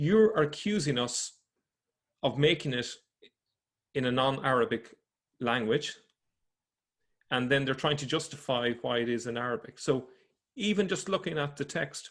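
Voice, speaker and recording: Lively intonation at a moderate pace, with long, frequent pauses, in an Irish accent. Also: man, fairly high pitch for a man. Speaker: religion researcher presenting findings. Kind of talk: presentation lecture. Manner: halting, with self-corrections.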